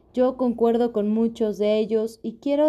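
A woman speaks with a dark, mellow tone. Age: 30s. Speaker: podcast host. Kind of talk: personal reflective monologue.

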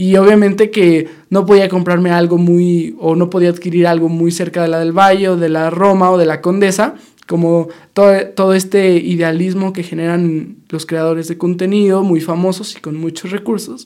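A man with a high pitch speaks at a moderate pace in a monotone, flat intonation. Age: 20s. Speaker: podcast host, university student. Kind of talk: casual monologue. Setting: studio.

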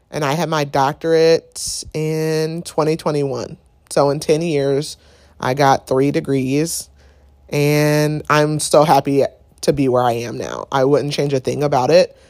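A woman speaks with a very deep, low pitch at a fairly slow pace. Her intonation is monotone and flat. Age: 30s. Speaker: nurse practitioner and podcast host. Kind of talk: solo casual monologue.

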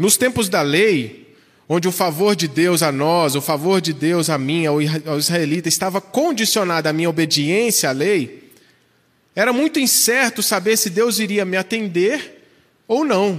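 A man with a high pitch talks at a fairly slow pace, his intonation lively and his loudness very even. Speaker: pastor. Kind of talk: sermon.

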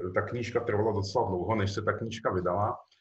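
The room echo is audible here. A man speaks with fairly even intonation. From Czech Republic. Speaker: novelist. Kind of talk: author interview.

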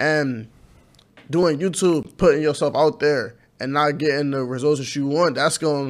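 A man's fairly high voice keeps a moderate pace and fairly even intonation. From inner-city Cleveland, Ohio. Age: 20s. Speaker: YouTuber, college student. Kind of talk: casual interview.

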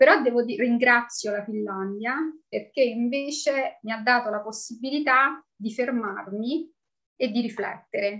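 With ordinary pitch variation, a woman speaks at a high pitch and a fairly slow pace. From Italy, Rome. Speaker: expat mother. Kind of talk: interview.

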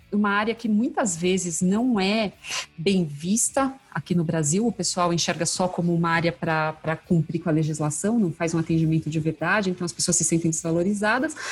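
A woman's voice sits at a medium pitch. Behind her, music can be heard. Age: 40s. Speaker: customer experience specialist. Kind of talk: casual interview chat.

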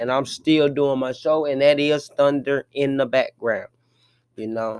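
Sounding animated, a man speaks at a fairly slow pace with ordinary pitch variation. The sound is dry and close, with no echo. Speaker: sports podcast host. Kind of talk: casual sports rant.

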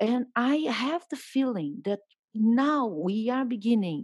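Very slow and marked by very wide pitch swings, a woman speaks with a Brazilian accent. The recording is very clean and dry, close, with no echo and a silent background. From Brazil, Rio de Janeiro. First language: Portuguese. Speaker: journalist and writer. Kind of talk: interview conversation.

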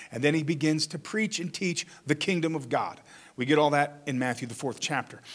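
A man's normal speaking voice, with ordinary pitch variation and a fairly quick pace, on a very clean recording with a silent background. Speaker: pastor. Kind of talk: sermon. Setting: church.

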